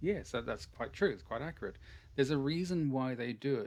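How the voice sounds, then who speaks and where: A man with an Irish accent and ordinary pitch variation. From Ireland. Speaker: English teacher. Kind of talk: online language class.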